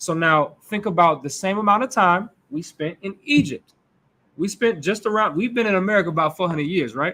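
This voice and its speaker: Raised and projected, a man's high-pitched voice moves at a fairly quick pace with an animated, bright, sharp tone and lively intonation. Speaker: Hebrew Israelite teacher. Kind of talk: sermon-style religious class discussion. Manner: animated, conversational.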